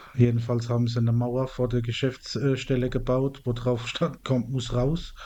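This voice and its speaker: Medium pitch from a man, with a dark, mellow tone and monotone, flat intonation. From Mannheim, southwestern Germany. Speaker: podcast co-host. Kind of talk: casual chat.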